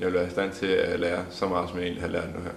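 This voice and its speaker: A man is speaking. There is noticeable background noise and audible room echo. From Denmark, Allerød, Zealand. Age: 20s. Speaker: folk high school sailing student. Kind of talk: interview. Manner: halting, many fillers.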